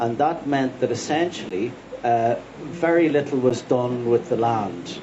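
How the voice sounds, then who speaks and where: This man speaks at a medium pitch for a man with ordinary pitch variation, in a Dublin accent. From Dublin, Ireland. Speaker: farmer and author. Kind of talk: panel talk. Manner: hesitant, repeats words.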